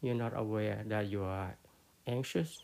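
A man speaks with a Cambodian accent and ordinary pitch variation. Noticeable background noise runs underneath. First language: Khmer. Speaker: Buddhist teacher. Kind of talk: dharma talk. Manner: halting, many fillers.

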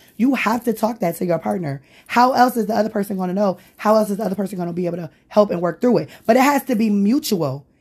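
Somewhat breathy and animated, a woman speaks at a very fast pace with lively intonation on a very clean recording with a silent background. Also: medium pitch for a woman. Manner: candid, profane, animated.

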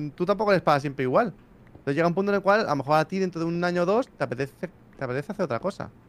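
A man talks at a very fast pace in a high voice with lively intonation. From Spain, Barcelona. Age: 30s. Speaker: YouTuber. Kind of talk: casual chat.

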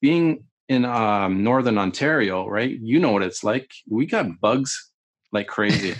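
Against a quiet background, a man with a Canadian accent uses an ordinary speaking voice at a medium pitch, moving at a moderate pace with lively intonation. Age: 40s. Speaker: military videographer and meditation teacher. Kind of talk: casual interview chat.

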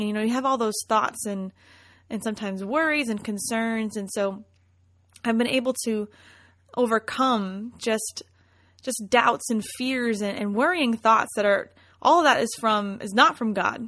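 In a quiet background, a normal speaking voice talks with ordinary pitch variation. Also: woman, fairly high pitch for a woman, moderate pace. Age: 20s. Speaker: podcast host and worship leader. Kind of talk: devotional monologue. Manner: warm, conversational.

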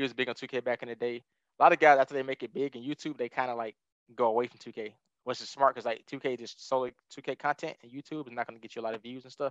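A man with a Southern US accent at a very fast pace, fairly even intonation, big swings in loudness. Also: medium pitch for a man, dry, close sound with no echo. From Alabama, Tuscaloosa. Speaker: brand manager and former esports player. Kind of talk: interview.

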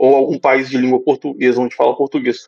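A man talks at a very fast pace. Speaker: finance professional living abroad. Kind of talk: casual chat.

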